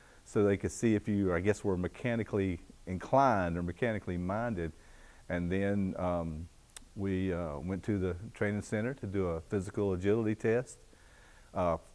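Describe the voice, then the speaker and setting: Speaking with a Southern US accent, a man with a very deep, low voice keeps a moderate pace and fairly even intonation. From US South, North Carolina (Greensboro area). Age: 60s. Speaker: retired fire captain. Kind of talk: oral history interview. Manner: halting, many fillers.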